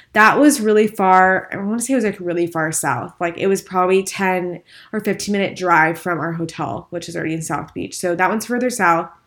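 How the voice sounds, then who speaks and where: Mumbling at a fairly quick pace with hardly any pauses. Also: woman, medium pitch for a woman, ordinary pitch variation. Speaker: podcast host. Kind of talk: casual chat. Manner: fast talker, mumbles.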